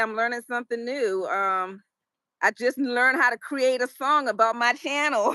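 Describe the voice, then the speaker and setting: In an American accent, a woman speaks at a fairly slow pace with a high pitch, lively intonation and a bright, sharp tone, captured as a very clean recording with a silent background and a dry, close sound with no echo. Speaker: YouTuber and English teacher. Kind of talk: interview.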